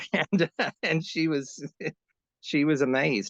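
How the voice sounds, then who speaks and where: Against a quiet background, a man with an Alabama accent speaks at a moderate pace in a dry, close sound with no echo. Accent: Southern US (Alabama). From US South, Mobile, Alabama. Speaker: tribute performer. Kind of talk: interview. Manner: halting, many fillers.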